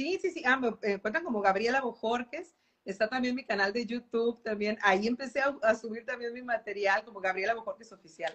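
A woman with an ordinary speaking voice and a fairly high pitch speaks at a moderate pace with ordinary pitch variation. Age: 40s. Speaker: professional musician and singer. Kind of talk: interview on a live stream. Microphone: unstable internet connection.

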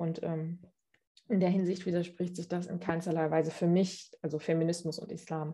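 At a moderate pace, a woman with a fairly low pitch speaks in a dark, mellow, somewhat breathy tone with monotone, flat intonation. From Germany, Cologne. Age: 20s. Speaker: interview guest. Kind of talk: interview. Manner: hesitant, many fillers.

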